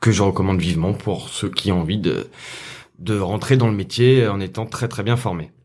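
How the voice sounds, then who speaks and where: Here a man speaks in an ordinary speaking voice, fairly low in pitch. He keeps a moderate pace with ordinary pitch variation. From France, Saint-Etienne. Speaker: compositing artist. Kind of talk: interview.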